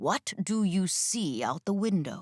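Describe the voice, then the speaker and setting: In a put-on character voice, a woman speaks at a fairly slow pace and medium pitch with a calm tone. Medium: read story. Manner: calm, commanding.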